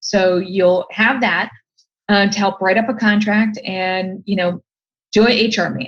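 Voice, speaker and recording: A woman's normal speaking voice with an American accent, medium pitch, fairly even intonation and a fairly slow pace. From Ohio, US. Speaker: design expert and entrepreneur. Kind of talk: podcast interview.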